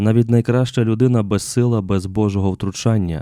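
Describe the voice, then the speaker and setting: A very clean recording with a silent background captures a man's voice. His pitch is fairly low and his tone dark and mellow, with ordinary pitch variation. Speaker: preacher. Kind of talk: sermon. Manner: formal; earnest.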